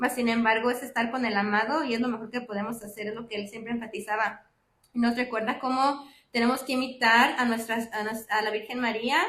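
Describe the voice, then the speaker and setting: A woman's fairly high, bright, sharp voice, fairly quick and monotone with flat intonation. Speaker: lay speaker at parish faith talk. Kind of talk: religious reflection talk. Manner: fast; halting with fillers.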